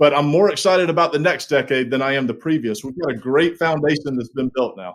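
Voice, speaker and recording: A fairly high-pitched man with a Southern US accent, fairly quick in pace and lively in intonation. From US South, small-town South Carolina. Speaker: logistics executive. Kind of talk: interview. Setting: video call.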